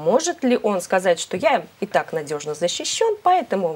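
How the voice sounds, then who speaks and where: A woman with very wide pitch swings. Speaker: TV host. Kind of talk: live TV studio discussion. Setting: studio. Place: studio. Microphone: lapel.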